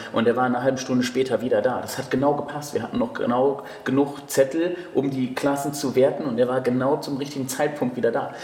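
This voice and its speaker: Very fast speech comes from a man at medium pitch in a monotone, flat delivery. Audible room echo and noticeable background noise surround him. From Cologne, Germany. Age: 20s. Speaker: bodybuilding coach and judge. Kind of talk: casual chat. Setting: gym.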